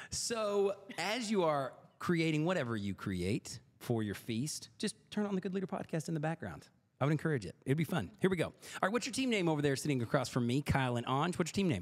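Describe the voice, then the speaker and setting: A man speaks in an animated tone at a fairly quick pace, his pitch swinging very widely. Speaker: podcast host and quizmaster. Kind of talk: hosting a trivia game show. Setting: studio table with several people. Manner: fast.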